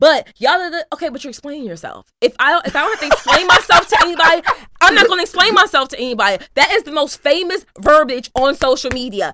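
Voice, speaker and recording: In a raised, projected voice, a woman talks at a very fast pace with an animated tone, high pitch, very wide pitch swings and big swings in loudness. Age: 30s. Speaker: podcast co-host. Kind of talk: casual chat.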